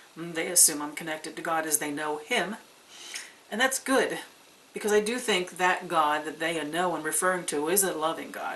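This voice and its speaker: Noticeable background noise sits behind a woman with a fairly low pitch who speaks at a moderate pace with ordinary pitch variation. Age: 60s. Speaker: pagan video blogger. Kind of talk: casual vlog monologue.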